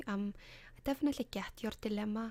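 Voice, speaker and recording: A woman speaks at medium pitch with an Icelandic accent. Her intonation stays fairly even and her pace is moderate. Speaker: ASMR creator. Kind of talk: advice column, casual talk to camera.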